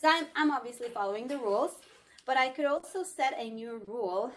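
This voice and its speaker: This woman talks at a fairly quick pace in a Scandinavian accent. Her intonation is lively. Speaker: tech company product demonstrator. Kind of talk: live product demo. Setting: video call from a meeting room. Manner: casual, filler-heavy.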